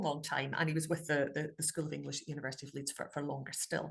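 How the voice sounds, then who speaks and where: The woman's speech races along very fast, with a somewhat breathy quality. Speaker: academic dialect researcher. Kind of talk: online talk to an audience. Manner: hesitant, many fillers.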